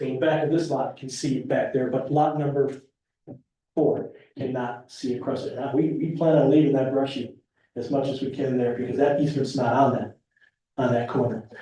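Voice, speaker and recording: A man speaks at a fairly quick pace, his pitch fairly high. His voice is somewhat breathy, with a dark, mellow tone. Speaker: property developer applicant. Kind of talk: public meeting presentation. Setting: town board meeting. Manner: gets softer the longer he talks; halting, repetitive.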